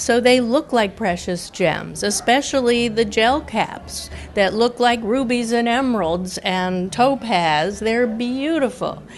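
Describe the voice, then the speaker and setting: Music plays behind a woman who speaks at a very slow pace with hardly any pauses. Her pitch is fairly high, with ordinary pitch variation. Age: 60s. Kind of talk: interview testimony.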